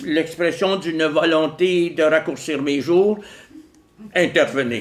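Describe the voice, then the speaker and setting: Noticeable background noise and audible room echo around a man with a fairly high pitch. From Quebec, Montreal. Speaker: philosopher and author. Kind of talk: lecture. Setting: stage with audience. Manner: slow; calm.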